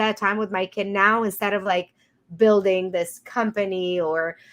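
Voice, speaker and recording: A woman with a Romanian accent speaks at a fairly slow pace. Her intonation is fairly even, and the background is quiet. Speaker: podcast host, business CEO. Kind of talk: casual interview chat.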